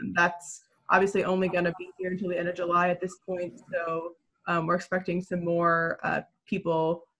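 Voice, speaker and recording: Against a quiet background, a woman speaks at a fairly low pitch and a moderate pace in a bright, sharp tone with monotone, flat intonation. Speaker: newspaper reporter. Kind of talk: panel discussion. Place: home room.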